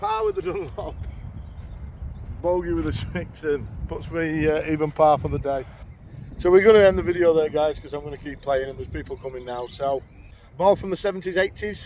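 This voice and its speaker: With a Yorkshire accent, a man speaks fairly quickly at a fairly high pitch with ordinary pitch variation, long, frequent pauses, and big swings in loudness. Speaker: amateur golf vlogger. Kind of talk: casual vlog commentary while playing golf. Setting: outdoors on a golf course.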